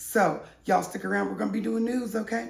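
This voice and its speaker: A woman speaks with very wide pitch swings. Her voice carries an audible room echo. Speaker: online news show host. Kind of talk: casual gossip news commentary. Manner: animated.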